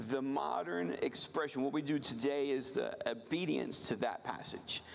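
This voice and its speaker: A man speaks with an American accent at a fairly high pitch. Audible room echo surrounds his voice. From rural Virginia. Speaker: missionary. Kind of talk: missions sermon from a church pulpit. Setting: church service. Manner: earnest, halting with frequent repeated words and fillers.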